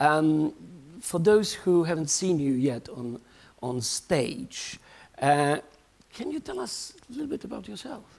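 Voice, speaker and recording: A man's fairly high voice at a fairly slow pace, full of very wide pitch swings and long, frequent pauses. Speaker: festival show host. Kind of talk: live show hosting. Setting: stage with audience. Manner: halting, many fillers. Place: stage. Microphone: lapel.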